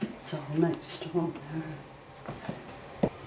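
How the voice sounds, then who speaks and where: Noticeable background noise behind a woman with a fairly low pitch. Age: 80s+. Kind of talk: casual cooking demonstration.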